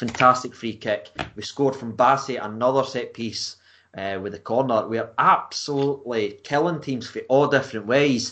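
A man with a Scottish accent speaks at a moderate pace against a quiet background, his pitch medium. His tone is bright and sharp, his intonation fairly even, and his loudness swings widely. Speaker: football fan blogger. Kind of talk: casual chat.

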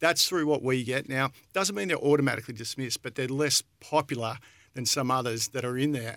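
With an Australian accent, a man talks at a fairly quick pace in a medium pitch. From Australia, country Victoria. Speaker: real estate company director. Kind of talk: casual chat. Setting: studio.

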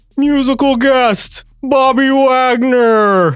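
Putting on a character voice, a man speaks at an extremely high pitch. His pace is very slow and his intonation fairly even. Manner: announcer intro delivery.

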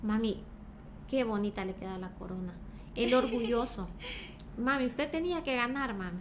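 A woman speaks with long, frequent pauses. Room echo is audible. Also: fairly high pitch for a woman, lively intonation, moderate pace. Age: 30s. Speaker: beauty pageant contestant and journalist. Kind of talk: interview.

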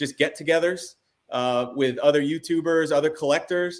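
Using a plain, everyday voice, a man keeps a moderate pace, a fairly high pitch and fairly even intonation. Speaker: sports card channel host. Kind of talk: casual interview chat. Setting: video call. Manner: friendly, warm.

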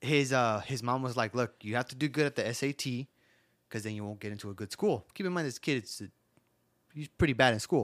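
On a very clean recording with a silent background, a man of medium pitch uses an ordinary speaking voice at a fairly quick pace, with ordinary pitch variation and a dry, close sound with no echo. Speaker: podcast host. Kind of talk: casual comedic banter.

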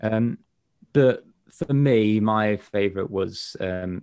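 Pitched fairly low, this man speaks with a slight North Midlands accent and ordinary pitch variation. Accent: northern England, North Midlands, fairly mild. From northern England. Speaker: prop maker. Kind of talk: casual chat.

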